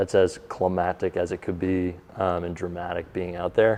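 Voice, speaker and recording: A man's very deep, low voice with a dark, mellow tone, monotone, flat intonation, and a moderate pace. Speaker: professional baseball pitcher. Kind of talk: interview.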